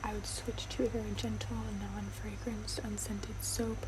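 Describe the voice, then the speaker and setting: Soft-spoken and whispering, a woman talks at a moderate pace over noticeable background noise. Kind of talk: ASMR roleplay as allergist and dermatologist. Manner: whispered, soft-spoken.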